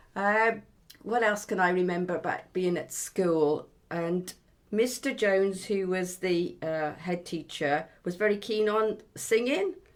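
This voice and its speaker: A woman with a West Midlands accent speaks at a fairly slow pace and ordinary pitch variation on a very clean recording with a silent background. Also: medium pitch for a woman. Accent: West Midlands rural English. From Herefordshire, England. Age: 70s. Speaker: oral history interviewee. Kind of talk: oral history interview. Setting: at home. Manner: reflective, with hesitations.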